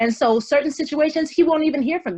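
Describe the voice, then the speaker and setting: A woman speaks at a fairly quick pace with an American accent. Her intonation is lively, and the background is quiet. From US South, Columbia, South Carolina. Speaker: actress. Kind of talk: interview conversation. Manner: articulate; upbeat.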